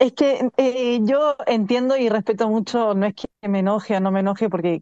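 In a Chilean accent, a woman speaks at a moderate pace with a fairly high pitch and a dark, mellow tone, recorded dry and close with no echo. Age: 30s. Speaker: Olympic swimmer. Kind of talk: interview.

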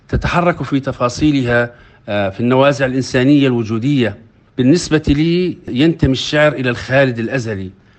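A man speaks at a medium pitch with ordinary pitch variation. It is an ordinary speaking voice. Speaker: poet, writer and journalist. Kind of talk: interview.

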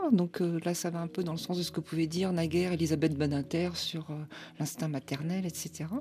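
In a dark, mellow tone, a woman speaks at a fairly low pitch and a moderate pace. Her voice is somewhat breathy, with monotone, flat intonation. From France. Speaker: literature professor and author. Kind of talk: radio interview.

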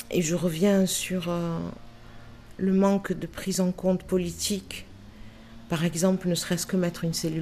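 A woman talks at a moderate pace with long, frequent pauses. Her fairly low voice keeps a monotone, flat intonation. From Marseille, France. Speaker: anti-racism activist. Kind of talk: testimony.

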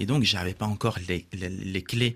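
In a very clean recording with a silent background, a man talks at a fairly low pitch with fairly even intonation. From Morocco. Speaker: teacher and author. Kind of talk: radio interview. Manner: halting, with fillers.

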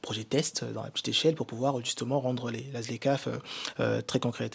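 Vocal fry runs through this man's medium-pitched voice as he talks at a fairly quick pace with fairly even intonation. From DR Congo, Kinshasa. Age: young. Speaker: business consultant. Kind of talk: radio panel discussion. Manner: halting.

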